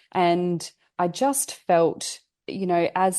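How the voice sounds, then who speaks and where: A woman with an Australian accent and a dark, mellow tone speaks over a quiet background. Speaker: family therapist and mindset coach. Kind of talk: podcast interview. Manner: hesitant with repetitions.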